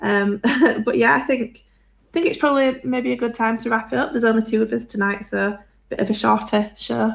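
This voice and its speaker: Speaking at a fairly quick pace in a Yorkshire accent, a woman uses a fairly high pitch with ordinary pitch variation. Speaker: podcast co-host. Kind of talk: casual chat. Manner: fast.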